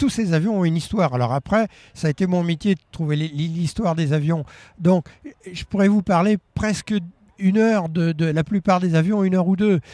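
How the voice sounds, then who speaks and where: Recorded very cleanly against a silent background, with a dry, close sound and no echo, a man with a high pitch and a dark, mellow tone speaks at a moderate pace with ordinary pitch variation. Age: 70s. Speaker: retired aviation magazine editor. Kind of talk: interview reminiscence. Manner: hesitant, with fillers and repetitions.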